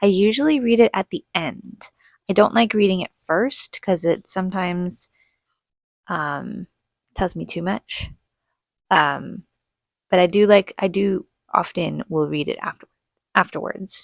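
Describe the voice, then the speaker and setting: The voice comes across quiet and fairly slow, with ordinary pitch variation and long, frequent pauses. The sound is dry and close, with no echo. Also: woman, medium pitch for a woman. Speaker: book reviewer. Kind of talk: casual chat.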